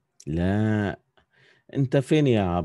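Speaking with an Egyptian accent, a man uses lively intonation and a dark, mellow tone. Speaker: calligraphy teacher. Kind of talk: online class tutorial. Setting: video call.

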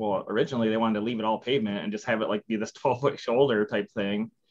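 A man with a strong Midwestern accent rushes along at a very fast pace with hardly any pauses, a medium pitch, and fairly even intonation. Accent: heavy Midwestern. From Midwestern US. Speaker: civil engineer. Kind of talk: interview answer. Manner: casual, conversational. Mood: relaxed, candid, amused. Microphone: video call.

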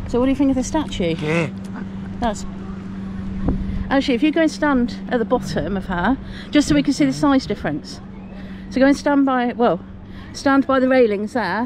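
A woman talks at a fairly quick pace, the sound dry with no echo and noticeable background noise behind her. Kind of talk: casual vlog chat. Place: waterside. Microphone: phone near.

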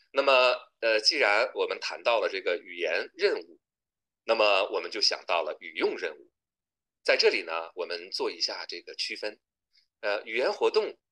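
A man talking at a moderate pace, with big swings in loudness and long, frequent pauses, against a quiet background. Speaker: university lecturer. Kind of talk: lecture. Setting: video call. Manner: formal. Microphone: webcam.

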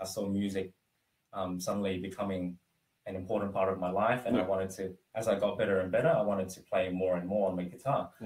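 A man with an Australian accent at a very fast pace, somewhat breathy, fairly low in pitch, fairly even in intonation, with audible room echo. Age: 20s. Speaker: former esports player. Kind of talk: interview. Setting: live stream. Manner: halting, many fillers. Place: home room. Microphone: camera far.

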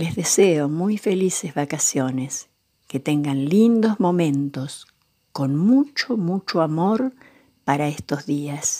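A woman with a fairly low pitch and a dark, mellow tone speaks very slowly with lively intonation, leaving long, frequent pauses. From Argentina, Buenos Aires area. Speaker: grandmother storyteller reading children's books. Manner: slow, tender and affectionate, addressing children.

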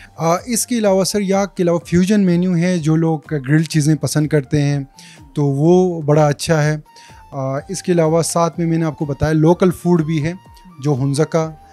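Against faint background music, a man speaks at a fairly slow pace with fairly even intonation. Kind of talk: interview answer. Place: cafe. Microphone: handheld.

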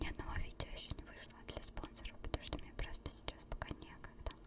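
The speaker is a woman. Her voice is a whisper. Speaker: ASMR creator. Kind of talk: ASMR chat. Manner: whispered. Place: home room. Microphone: studio mic.

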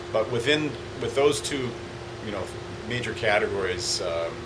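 A man talks at a moderate pace with ordinary pitch variation. Loud background noise sits behind him. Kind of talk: interview answer. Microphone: phone near.

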